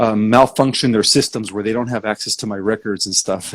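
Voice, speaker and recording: A man at a medium pitch with fairly even intonation and a fairly quick pace. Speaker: spiritual author and teacher. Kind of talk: live-stream interview. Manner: halting, many fillers.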